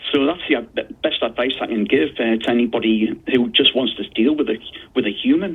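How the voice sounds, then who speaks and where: A man speaks with a Geordie accent. His pace is moderate. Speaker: consumer disputes expert. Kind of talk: radio interview.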